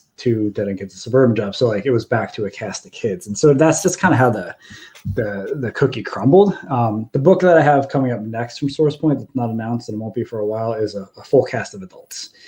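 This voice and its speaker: This man's voice has a dark, mellow tone and is somewhat breathy. He talks at a fairly quick pace with hardly any pauses and big swings in loudness. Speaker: comic book writer. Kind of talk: interview. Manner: monotone.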